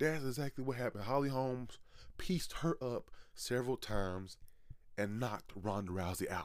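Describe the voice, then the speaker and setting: An unremarkable speaking voice at a moderate pace. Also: man, medium pitch for a man, ordinary pitch variation. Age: 20s. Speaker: wrestling podcast host. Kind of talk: solo commentary podcast.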